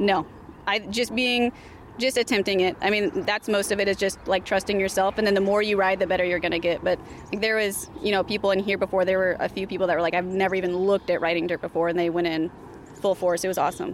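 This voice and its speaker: Noticeable background noise sits behind a woman talking very fast, with very even loudness and fairly even intonation. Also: medium pitch for a woman. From California. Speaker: trail club organizer. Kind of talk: interview.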